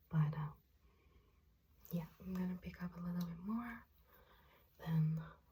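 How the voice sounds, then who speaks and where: Soft-spoken and somewhat breathy, a woman speaks at a fairly slow pace with a fairly low pitch, a dark, mellow tone and fairly even intonation. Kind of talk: ASMR roleplay makeup application addressed to the listener.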